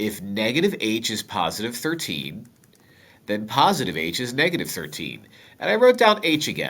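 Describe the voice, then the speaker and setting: Very wide pitch swings and vocal fry mark this man's delivery at a moderate pace. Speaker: math teacher. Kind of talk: tutorial. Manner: casual, joking.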